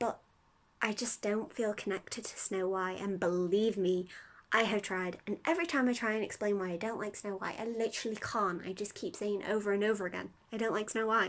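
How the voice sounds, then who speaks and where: Pitch varies in an ordinary way while the words come at a fairly quick pace. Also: woman. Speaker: youtuber. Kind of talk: casual vlog monologue. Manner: hesitant, filler-heavy.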